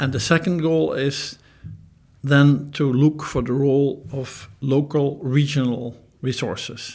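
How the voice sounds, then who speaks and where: A man with a fairly high pitch and monotone, flat intonation at a very slow pace, in a very clean recording with a silent background. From Netherlands. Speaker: professor. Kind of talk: interview.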